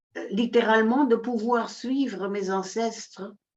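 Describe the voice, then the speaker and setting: A woman speaks at a very slow pace. Her voice is fairly high-pitched. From Netherlands. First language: Dutch (speaking French). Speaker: workshop participant. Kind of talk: sharing in an online group session. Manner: halting, many repetitions.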